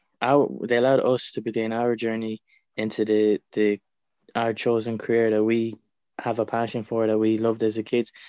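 A man with an Irish accent speaks in a dark, mellow tone with monotone, flat intonation, recorded dry and close with no echo against a quiet background. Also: medium pitch for a man, moderate pace. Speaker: pro wrestler. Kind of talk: casual chat.

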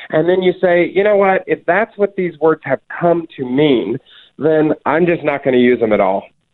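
A man with an ordinary speaking voice talks at a moderate pace, his pitch fairly high and his loudness very even. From US South. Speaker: author and religion writer. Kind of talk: interview.

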